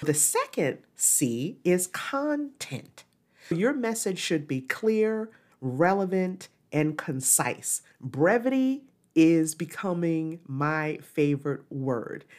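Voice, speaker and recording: On a very clean recording with a silent background, a woman speaks very slowly in a fairly low voice with very wide pitch swings. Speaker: podcast host and communication coach. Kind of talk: solo podcast talk.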